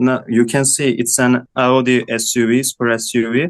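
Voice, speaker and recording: A man with a non-native accent, medium pitch and a very slow pace. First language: not English. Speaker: design student. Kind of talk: student project presentation. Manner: halting.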